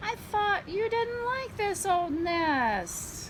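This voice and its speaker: A squeaky, put-on character voice moves at a very slow pace over clear background noise. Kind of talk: bedtime story. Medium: read story.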